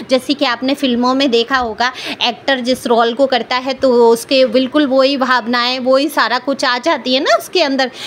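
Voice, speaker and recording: A woman's high-pitched monotone, flat intonation, very even in loudness with hardly any pauses, amid noticeable background noise. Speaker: tarot card reader. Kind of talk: tarot reading monologue. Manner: loud, raised pitch.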